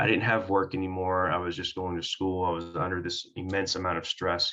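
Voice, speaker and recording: Very deep and low in pitch, a man with an American accent talks at a fairly quick pace. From Oklahoma, US (Durant area). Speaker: firefighter paramedic. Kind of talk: interview. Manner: articulate.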